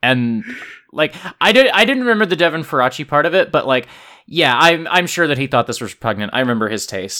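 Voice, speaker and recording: Speaking at a very fast pace, a man uses a bright, sharp tone at fairly high pitch with very wide pitch swings, on a very clean recording with a silent background. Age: 30s. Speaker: podcast host. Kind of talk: casual chat.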